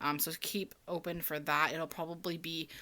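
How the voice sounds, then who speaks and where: Over a very clean recording with a silent background, a woman speaks at a fairly low pitch and moderate pace in a bright, sharp tone. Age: 20s. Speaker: budgeting vlogger. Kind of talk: casual chat. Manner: filler-heavy, casual with frequent ums.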